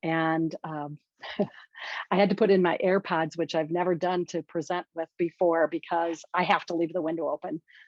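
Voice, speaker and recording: In an American accent, a woman talks at a moderate pace with a fairly low pitch. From Washington State. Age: 60s. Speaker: workshop presenter. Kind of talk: conference presentation.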